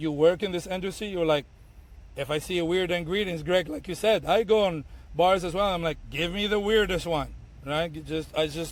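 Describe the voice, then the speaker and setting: A man talks at a high pitch, his intonation fairly even. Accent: Arabic. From Tunisia. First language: Arabic. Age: 30s. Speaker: bartender and bar owner. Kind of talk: podcast interview. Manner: halting, many fillers and repeats.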